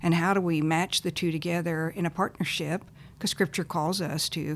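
With a Texan accent, a woman talks at a fairly quick pace in a very deep, low voice, her intonation fairly even, on a very clean recording with a silent background. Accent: Texan American. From Texas. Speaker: nonprofit founder and former missionary. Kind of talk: interview.

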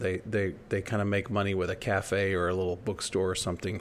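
Speaking at a fairly quick pace, a man with an American accent has a fairly low pitch. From United States. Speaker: podcast co-host. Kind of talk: casual chat; storytelling.

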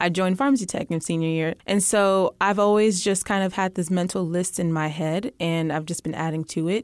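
This woman has a plain, everyday voice, talking fairly quickly at a medium pitch with ordinary pitch variation. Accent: American. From Texas. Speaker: medical student. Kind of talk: casual interview chat.

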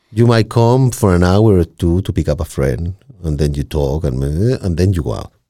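A man speaks at a moderate pace with lively intonation. His very deep, low voice has a dark, mellow tone. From Chile. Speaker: podcaster. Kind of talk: casual chat. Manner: repeats words, halting starts.

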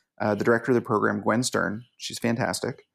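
On a very clean recording with a silent background, a man with an ordinary speaking voice talks at a fairly quick pace and medium pitch, his intonation fairly even. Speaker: mock trial coach and tournament organizer. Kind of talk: interview.

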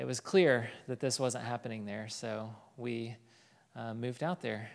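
A speaker with a Southern US accent talks at a fairly slow pace against a quiet background. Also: man. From Arkansas, Fort Smith. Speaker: missionary. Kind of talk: testimony.

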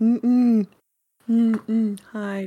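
Put-on character voice, fairly high in pitch, with monotone, flat intonation. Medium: actual play. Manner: terse, hushed.

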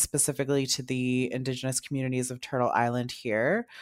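The speaker has a Canadian accent and a fairly quick pace. The recording is very clean, with a silent background. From North Bay, Ontario, Canada. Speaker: guest producer and interviewer, artist. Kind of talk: interview conversation. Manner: casual, hesitant with fillers.

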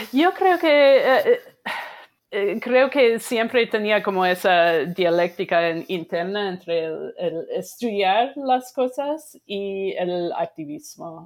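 A woman's medium-pitched voice with an American accent at a very slow pace, with very wide pitch swings, in a very clean recording with a silent background. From US Midwest, Wisconsin. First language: English (speaking Spanish). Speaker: sociology professor. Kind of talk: interview. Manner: halting.

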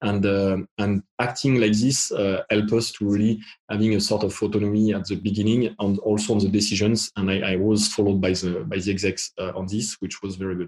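In a French accent, a man delivers his words at a fairly quick pace with a fairly low pitch and monotone, flat intonation. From France. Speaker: tech executive. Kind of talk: panel discussion. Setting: video call.

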